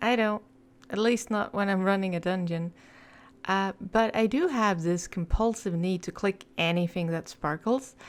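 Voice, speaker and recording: Soft-spoken delivery with a non-native accent, ordinary pitch variation and a moderate pace, on a very clean recording with a silent background. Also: woman. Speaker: video game lore YouTuber. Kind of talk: casual intro before reading aloud.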